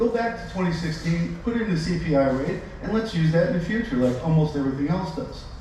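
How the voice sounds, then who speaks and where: Over noticeable background noise and audible room echo, a man speaks in a high voice. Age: 70s. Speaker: public commenter, retired boat owner. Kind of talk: public comment at a meeting. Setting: public meeting. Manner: animated.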